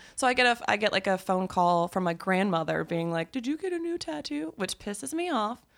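Speaking at a fairly quick pace with hardly any pauses, a woman of medium pitch uses very wide pitch swings in a Southern US accent, on a very clean recording with a silent background. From US South. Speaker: podcast guest. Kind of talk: casual chat.

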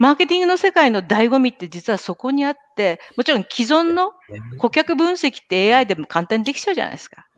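At a fairly quick pace, a woman with a high pitch makes very wide pitch swings and big swings in loudness, in a dry, close sound with no echo. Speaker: podcast host and marketing professional. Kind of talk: casual chat. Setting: live video stream.

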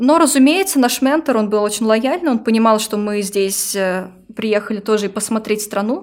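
A woman with a plain, everyday voice, fairly high in pitch, at a moderate pace with ordinary pitch variation. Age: 20s. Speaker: manager and youth worker, Erasmus participant. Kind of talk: casual interview.

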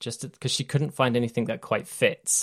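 Speaking with a British accent and fairly even intonation, a man is heard on a very clean recording with a silent background. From Britain. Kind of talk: casual chat.

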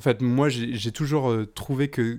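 A man is speaking. His intonation is fairly even. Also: very clean recording, silent background. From western France, near Nantes. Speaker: podcast guest sharing music story. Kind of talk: casual storytelling. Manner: hesitant, many fillers.

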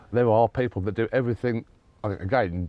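With a southern English accent, a man talks at a very fast pace with ordinary pitch variation. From southern England, Sussex. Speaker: sporting agent. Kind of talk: casual interview chat. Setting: recorded on location abroad.

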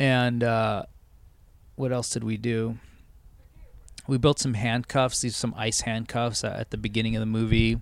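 A man talks at medium pitch and a moderate pace, with long, frequent pauses. His intonation is monotone and flat. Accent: Californian. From Southern California, Los Angeles suburbs. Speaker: TV editor. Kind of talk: casual chat. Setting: tree fort.

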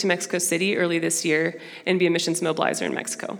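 A woman with an American accent at a very fast pace, amid noticeable background noise. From Brazil and Dallas, Texas (bicultural). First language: Portuguese. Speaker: missions mobilizer, guest speaker at church. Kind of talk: sermon. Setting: church with congregation. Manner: casual, filler-heavy.

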